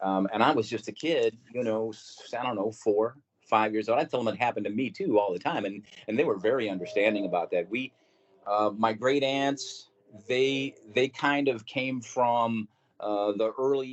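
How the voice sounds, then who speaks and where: A man at a medium pitch and a moderate pace, with ordinary pitch variation. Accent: American. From Missouri, St. Louis. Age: 60s. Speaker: podcast guest recounting paranormal experiences. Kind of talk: casual interview storytelling.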